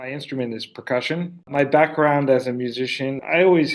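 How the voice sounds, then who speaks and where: Against a quiet background, a man with a plain, everyday voice and an American accent speaks with fairly even intonation. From United States. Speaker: orchestra conductor. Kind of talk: interview.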